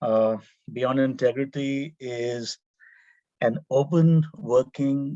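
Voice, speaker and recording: A man talks with an Indian accent and ordinary pitch variation. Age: 50s. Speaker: urban planning professor. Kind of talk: panel presentation. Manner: halting, many fillers.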